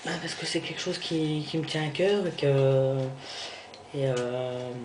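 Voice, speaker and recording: Amid audible room echo and noticeable background noise, a fairly high-pitched man speaks at a very slow pace with ordinary pitch variation. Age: 20s. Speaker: vlogger. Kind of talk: personal video diary. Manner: halting.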